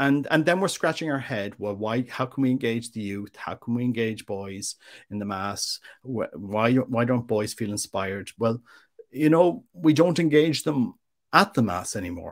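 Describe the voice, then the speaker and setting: A man with an Irish accent speaks at a moderate pace and medium pitch with lively intonation. The recording is very clean, with a silent background. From Ireland. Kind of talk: interview. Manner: halting, with frequent repetitions.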